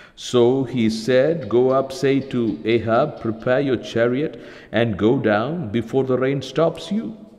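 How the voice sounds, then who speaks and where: A man's warm tone at a very slow pace. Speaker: preacher. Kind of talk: sermon. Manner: earnest, persuasive preaching, warm and encouraging. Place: studio.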